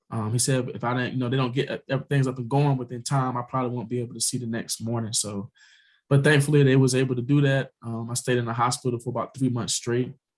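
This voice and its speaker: Talking very fast, a man keeps a monotone, flat intonation at medium pitch, his voice somewhat breathy. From US South. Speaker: cancer survivor and author. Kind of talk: interview testimony.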